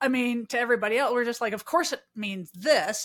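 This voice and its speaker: The speaker has a Midwestern American accent and ordinary pitch variation. The recording is very clean, with a silent background. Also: woman. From US Midwest. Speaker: podcast host. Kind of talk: casual interview chat.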